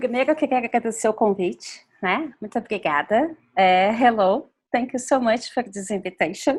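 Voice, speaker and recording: This woman talks at a fairly quick pace with a Portuguese accent. Her pitch is fairly high and her intonation lively. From Brazil, São Paulo. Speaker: fashion designer and activist. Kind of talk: interview.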